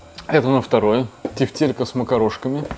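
The man keeps a moderate pace and ordinary pitch variation, with light background noise behind him. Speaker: food vlogger. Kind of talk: casual vlog chat. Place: kitchen. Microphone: camera far.

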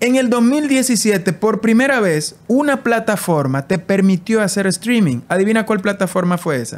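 Barely pausing, a man speaks at a high pitch and fairly slow pace with lively intonation. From Dominican Republic, San José de Ocoa; Dominican Republic. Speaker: immigration influencer. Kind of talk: casual interview. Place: home room. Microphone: studio mic.

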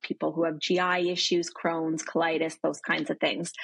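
Over a quiet background, a woman speaks at a fairly low pitch. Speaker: remote guest. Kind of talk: interview answer. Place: home room. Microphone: video call.

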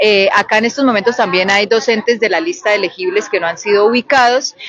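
A woman's voice, dry with no echo. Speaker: spokesperson for provisional teachers. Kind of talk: interview answer. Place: street. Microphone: handheld.

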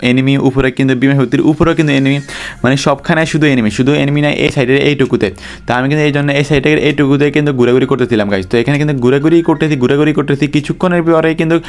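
A man speaks at a fairly high pitch with very even loudness and fairly even intonation. Noticeable background noise sits behind him. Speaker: gaming YouTuber. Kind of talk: gameplay commentary narration.

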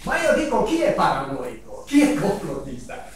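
Strong room echo and light background noise surround a man whose voice moves in very wide pitch swings. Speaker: audience member. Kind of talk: Q&A remark. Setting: conference hall with audience. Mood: indignant, rhetorical questions. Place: meeting room.

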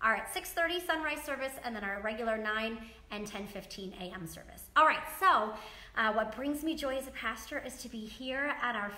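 Amid audible room echo, a woman uses a raised, projected voice with lively intonation at a moderate pace. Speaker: pastor. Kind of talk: sermon. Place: church. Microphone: camera far.

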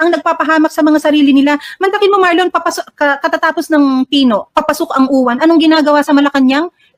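A woman's high-pitched voice at a fairly quick pace, with ordinary pitch variation and a dry, close sound with no echo. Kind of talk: heated opinionated commentary. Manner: sarcastic, scornful, animated.

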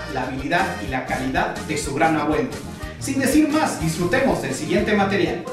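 Moderate-paced male speech with very wide pitch swings, audible room echo and clear music in the background. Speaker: channel host introducing a video. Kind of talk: video intro narration. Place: home room.

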